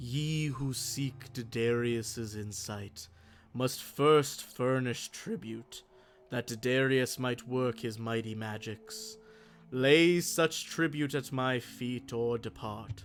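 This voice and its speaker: Putting on a character voice at a medium pitch, a man speaks at a very slow pace while music plays clearly in the background. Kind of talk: archaic, grandiose. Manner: commanding, solemn.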